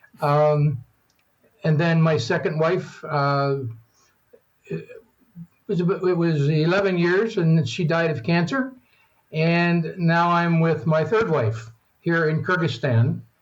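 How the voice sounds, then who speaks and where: In an American accent, a man with a fairly high pitch and ordinary pitch variation speaks very slowly, leaving long, frequent pauses, with audible room echo. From western Maryland, US (Allegany County area). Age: 70s. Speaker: retired accountant and world traveler. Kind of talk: interview. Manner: halting.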